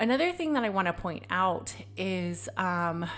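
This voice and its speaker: This woman talks at a medium pitch. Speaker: podcast host. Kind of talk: casual monologue. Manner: casual, filler-heavy.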